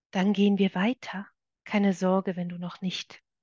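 The sound is dry and close with no echo, over a quiet background. A woman of medium pitch speaks somewhat breathily with fairly even intonation. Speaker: meditation guide. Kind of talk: guided meditation. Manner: slow, soft, calming, gentle pacing.

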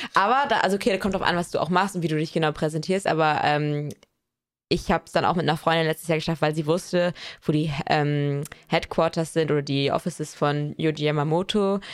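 Speaking at a fairly quick pace, a woman keeps her very deep, low pitch in fairly even intonation. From small town in Germany. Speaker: fashion podcast co-host. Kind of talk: casual chat. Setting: recording together in Paris.

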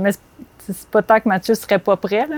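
In a Quebec accent, the speaker's monotone, flat delivery comes through a dry, close sound with no echo. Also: woman. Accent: Québécois French. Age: 30s. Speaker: advertising art director. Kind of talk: casual chat. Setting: outdoors.

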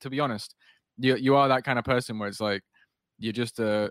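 A man's medium-pitched voice at a fairly quick pace, with ordinary pitch variation, a dry, close sound with no echo, and a very clean recording over a silent background. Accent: northern English. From northwest England. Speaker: podcast host and designer. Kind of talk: casual interview chat.

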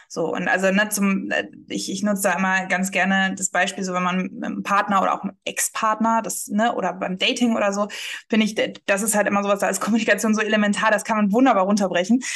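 Very fast speech with big swings in loudness and monotone, flat intonation over noticeable background noise. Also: woman, medium pitch for a woman. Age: 20s. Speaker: marketing agency founder. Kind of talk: casual interview.

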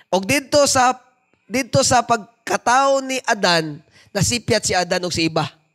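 A man speaks at an extremely high pitch, his tone bright and sharp. He sounds animated and keeps a fairly slow pace. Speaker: preacher. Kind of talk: sermon with prayer, preaching in Cebuano mixed with English. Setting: church with congregation. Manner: fervent, animated preaching, switching between Cebuano and English; exhorting the congregation, asking them to respond.

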